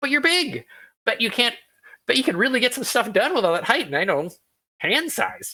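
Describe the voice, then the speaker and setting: A put-on character voice, fairly high and fast, with very wide pitch swings and long, frequent pauses. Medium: actual play. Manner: mercurial, fast-talking.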